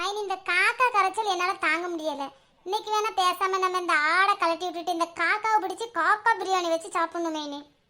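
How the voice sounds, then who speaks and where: This cartoonish character voice sounds female and is extremely high-pitched. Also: moderate pace. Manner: impulsive, stubborn.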